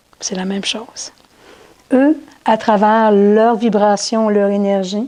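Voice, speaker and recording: A woman's very slow voice, medium in pitch, with a dark, mellow tone and fairly even intonation. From Quebec. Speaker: spiritual teacher. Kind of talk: talk to an audience. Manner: halting.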